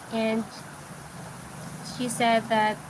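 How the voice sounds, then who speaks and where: A fairly high-pitched woman at a very slow pace, with noticeable background noise. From Philippines, Iloilo (Ilonggo). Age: 20s. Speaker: live streamer. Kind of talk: casual livestream chat. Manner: halting, hesitant English.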